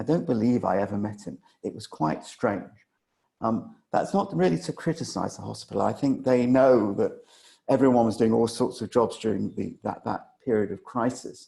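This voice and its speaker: Speaking at a moderate pace and a medium pitch, a man uses lively intonation in a dark, mellow tone marked by vocal fry. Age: 60s. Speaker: former Covid ICU patient, digital health entrepreneur. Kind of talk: talk to an audience about personal experience.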